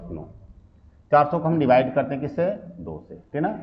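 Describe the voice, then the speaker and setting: With audible room echo, a man at medium pitch speaks with lively intonation. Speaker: math teacher. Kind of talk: lecture. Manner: repetitive filler "ठीक ना".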